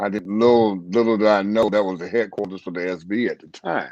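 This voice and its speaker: Over a quiet background, a man with an unremarkable speaking voice talks at a fairly quick pace, fairly low in pitch and fairly even in intonation. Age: 60s. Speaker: dog trainer. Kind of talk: interview.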